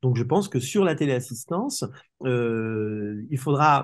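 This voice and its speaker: Ordinary pitch variation over a quiet background. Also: man. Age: 60s. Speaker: telecare industry expert. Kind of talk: interview. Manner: hesitant, many fillers and repetitions.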